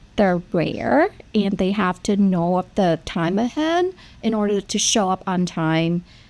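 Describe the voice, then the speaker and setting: A woman with a Vietnamese accent on a very clean recording, silent background. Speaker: nurse practitioner. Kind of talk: panel discussion.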